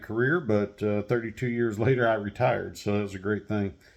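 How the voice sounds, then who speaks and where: A man speaks with an American accent. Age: 50s. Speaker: retired army veteran and firearms channel creator. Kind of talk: casual monologue introduction. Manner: halting with filler words.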